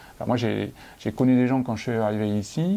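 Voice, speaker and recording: This man has a dark, mellow tone. His pitch varies in an ordinary way. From France. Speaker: entrepreneur. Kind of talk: casual interview. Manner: halting, many fillers.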